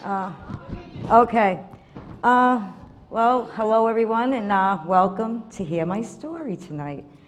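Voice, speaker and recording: With an American accent, a woman speaks at a fairly slow pace and medium pitch, with ordinary pitch variation and long, frequent pauses. Audible room echo and noticeable background noise are present. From Massachusetts, Revere (US New England). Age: 60s. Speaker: recovery program member giving testimony. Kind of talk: testimony. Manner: halting, many fillers.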